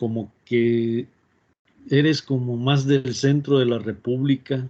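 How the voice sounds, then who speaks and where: Very slowly and with monotone, flat intonation, a man with a northern Mexican accent speaks at a medium pitch in a dark, mellow tone. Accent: northern Mexican Spanish (Tamaulipas). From northern Mexico. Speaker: university professor. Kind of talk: online class, casual aside.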